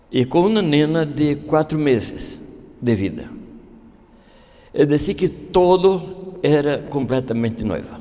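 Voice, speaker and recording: A man's dark, mellow, fairly high voice with lively intonation, very slow pace and long, frequent pauses, in audible room echo. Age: 70s. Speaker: pastor. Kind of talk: sermon. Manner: halting.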